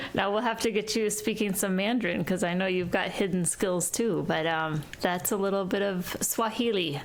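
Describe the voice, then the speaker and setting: Speaking with an Upper Midwest accent, a woman at medium pitch keeps a very even loudness, ordinary pitch variation and hardly any pauses, with noticeable background noise and an audible room echo. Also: moderate pace. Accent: northern US (Upper Midwest). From Wisconsin, US Midwest (partly raised in Kenya). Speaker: wealth advisor and author. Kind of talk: podcast interview.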